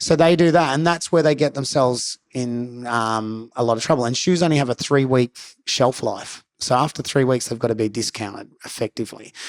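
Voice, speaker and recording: Speaking with an Australian accent at a medium pitch, a man barely pauses, on a very clean recording with a silent background. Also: ordinary pitch variation, fairly quick pace. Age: 40s. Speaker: professional skateboarder and skate coach. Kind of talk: casual chat.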